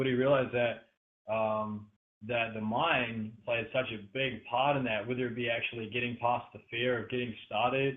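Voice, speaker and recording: With an Australian accent, a man talks at a moderate pace in a medium-pitched voice with monotone, flat intonation. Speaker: podcast interviewer. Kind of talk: interview introduction. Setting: online call. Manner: hesitant, many fillers.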